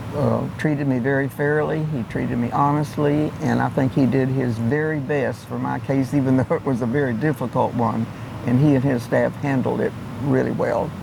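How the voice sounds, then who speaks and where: A man at medium pitch with fairly even intonation and noticeable background noise. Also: moderate pace. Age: 80s+. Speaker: law firm client. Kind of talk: client testimonial.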